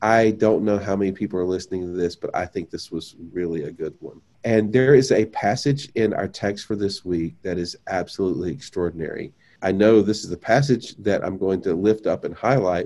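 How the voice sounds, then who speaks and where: A man talks fairly quickly with hardly any pauses. His voice is fairly low-pitched, with a dark, mellow tone. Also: ordinary pitch variation. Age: 50s. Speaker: pastor. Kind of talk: casual chat. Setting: video call.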